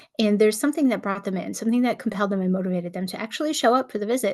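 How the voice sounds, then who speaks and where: A woman's fairly high, somewhat breathy voice with ordinary pitch variation, against a quiet background. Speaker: nurse practitioner, channel host. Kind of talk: solo talk to camera, casual advice. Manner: fast; talkative, conversational.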